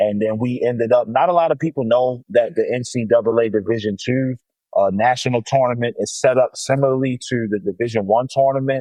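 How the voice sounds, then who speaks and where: A man with an American accent, an unremarkable speaking voice, medium pitch and ordinary pitch variation. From Baltimore, Maryland, US. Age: 30s. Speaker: high school basketball coach. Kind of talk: interview. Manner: casual, frequent fillers.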